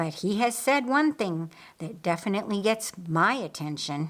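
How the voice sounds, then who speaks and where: In a very clean recording with a silent background, a woman does a put-on character voice at medium pitch and a moderate pace. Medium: read story. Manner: calm, reflective.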